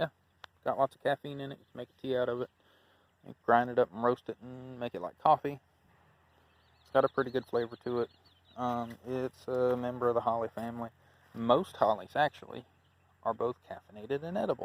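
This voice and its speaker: Fairly quick pace from a man at medium pitch, fairly even intonation, long, frequent pauses, and a dry, close sound with no echo. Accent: Alabama. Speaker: YouTuber, gardener. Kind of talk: casual walkthrough vlog. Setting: outdoors in garden. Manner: casual, hesitant with fillers.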